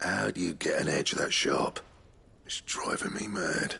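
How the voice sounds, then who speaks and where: It is a put-on character voice, raspy in sound. The pace is moderate. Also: man. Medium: video game. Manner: gruff.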